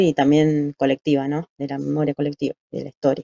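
The sound is dry with no echo, set against a quiet background. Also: woman. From Buenos Aires, Argentina; Argentina. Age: 40s. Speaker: human rights testimony guest; interviewee. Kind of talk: interview testimony. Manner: halting, frequent filler 'eh'. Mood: calm, reflective, serious. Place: home room. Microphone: video call.

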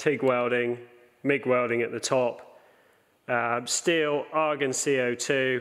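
A man's intonation stays fairly even, and the background is quiet. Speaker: welding instructor. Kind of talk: tutorial. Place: workshop.

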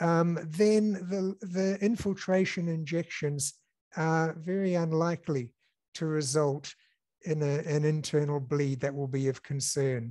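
At a fairly slow pace, a man speaks in a dark, mellow tone with ordinary pitch variation against a quiet background. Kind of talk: interview answer. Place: office. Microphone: headset.

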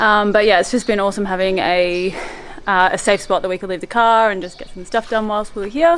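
Her loudness swings widely as a woman speaks at a fairly quick pace with ordinary pitch variation. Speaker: overland travel vlogger. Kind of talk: casual vlog chat. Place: garden. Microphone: phone near.

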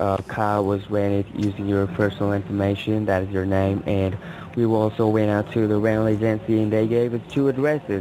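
Noticeable background noise runs under a man with a fairly low pitch. He speaks at a moderate pace with hardly any pauses. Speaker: phone scammer posing as a government agent. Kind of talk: scam phone call. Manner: hesitant, many filler words.

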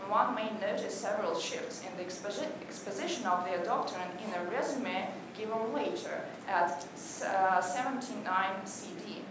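A woman at a moderate pace, with clear background noise and audible room echo

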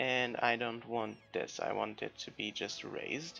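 Music plays in the background. Over it, a man talks very slowly. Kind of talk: casual gameplay commentary.

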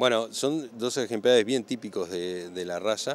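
A man speaks at a moderate pace in a fairly low pitch. His pitch varies in an ordinary way.

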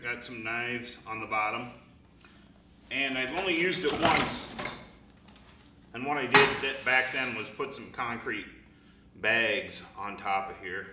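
Over loud background noise, a man speaks at a fairly slow pace with ordinary pitch variation and long, frequent pauses. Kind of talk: tutorial. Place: workshop. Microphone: camera far.

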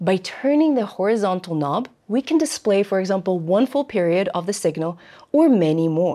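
The woman's tone is dark and mellow, at a moderate pace. The background is quiet. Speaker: presenter host. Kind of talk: tutorial. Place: studio.

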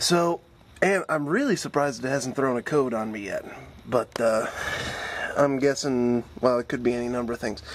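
A man talks at a moderate pace with ordinary pitch variation. Light background noise sits behind him. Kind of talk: tutorial. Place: garage. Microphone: phone near.

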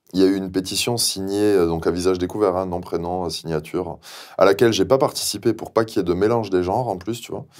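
Over a quiet background, a man speaks very fast in a very deep, low voice with fairly even intonation. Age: young. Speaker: pig farmer; guest. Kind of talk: interview. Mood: indignant, sardonic. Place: studio. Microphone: lapel.

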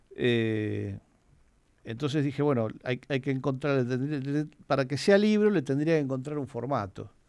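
Speaking at a fairly slow pace with long, frequent pauses, a man with a medium pitch and a Rioplatense accent uses lively intonation. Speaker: film programmer and author. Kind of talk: radio interview.

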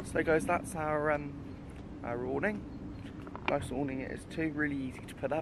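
A man's fairly quick speech with fairly even intonation, dry with no echo, amid noticeable background noise. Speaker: caravan vlogger. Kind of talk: casual vlog chat. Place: open country. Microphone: phone near.

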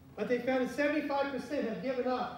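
The man's voice carries strong room echo. Light background noise can be heard. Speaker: pastor. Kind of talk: sermon. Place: church. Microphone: camera far.

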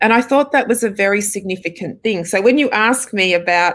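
A woman speaks with an Australian accent. Her pace is moderate. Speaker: film director. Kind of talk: interview answers. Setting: video call. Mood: warm, smiling. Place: home room.

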